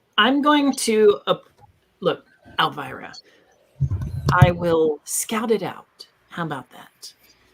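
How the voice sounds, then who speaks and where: A put-on character voice, raspy and fairly high in pitch, at a fairly slow pace with long, frequent pauses. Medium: actual play.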